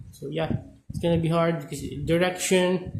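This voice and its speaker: Through noticeable background noise and audible room echo, a man with a high pitch speaks at a moderate pace. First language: not English. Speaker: gaming content creator. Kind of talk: gameplay tutorial. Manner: halting, many fillers.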